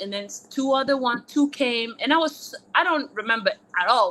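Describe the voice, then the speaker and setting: A woman speaks in a French accent with lively intonation. Noticeable background noise is present. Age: 30s. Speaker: former college tennis player. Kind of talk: interview. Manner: casual, filler-heavy.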